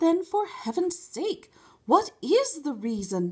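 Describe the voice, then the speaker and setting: A woman's put-on character voice, extremely high in pitch with very wide pitch swings, at a fairly slow pace. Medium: read story. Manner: refined, proper.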